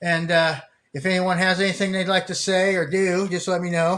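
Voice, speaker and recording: At a moderate pace, a man speaks in a high-pitched voice. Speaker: store owner and streamer. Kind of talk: casual live stream chat. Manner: rambling, halting with fillers; stumbling over words.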